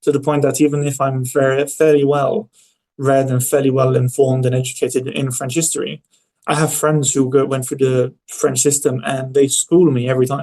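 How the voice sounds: At a moderate pace, a man speaks at a medium pitch with a slightly mellow tone and little pitch movement.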